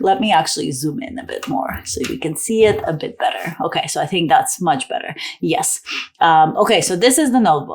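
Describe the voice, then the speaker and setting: A woman with a medium pitch. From Toronto, Canada. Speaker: author and writing vlogger. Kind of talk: casual tutorial vlog. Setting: indoors, door closed. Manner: animated.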